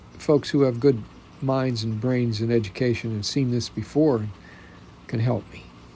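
A dark, mellow, somewhat breathy delivery at a moderate pace, with fairly even intonation, big swings in loudness, and long, frequent pauses. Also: man, medium pitch for a man. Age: 70s. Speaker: podcaster and spousal caregiver. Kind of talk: personal monologue. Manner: halting.

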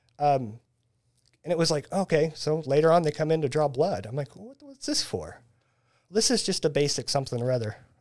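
This man has a plain, everyday voice, pitched fairly high, on a very clean recording with a silent background. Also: lively intonation, fairly quick pace. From Central Illinois, US Midwest. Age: 40s. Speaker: band photographer. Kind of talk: casual chat.

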